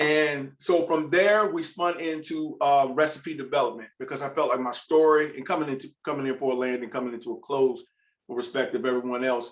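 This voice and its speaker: With an American accent and a plain, everyday voice, a man talks at a fairly quick pace in a fairly high pitch with ordinary pitch variation. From US South, Virginia. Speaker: food entrepreneur. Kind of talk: panel discussion.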